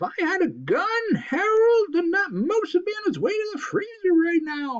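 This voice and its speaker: This is a put-on character voice with an extremely high pitch. It sounds shrill and moves at a moderate pace. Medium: read story.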